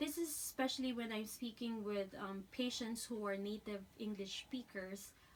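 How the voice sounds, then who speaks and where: A woman with a Filipino accent speaks at a moderate pace in a fairly high pitch. Her pitch varies in an ordinary way, and there is noticeable background noise. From Philippines. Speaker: dental hygiene student. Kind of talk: class speech. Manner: halting.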